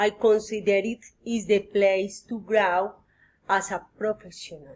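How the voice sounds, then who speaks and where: A woman with a Spanish accent speaks at a medium pitch and a fairly slow pace. Her intonation is flat and monotone. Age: 40s. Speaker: psychology student. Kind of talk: mock job interview practice. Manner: halting, hesitant.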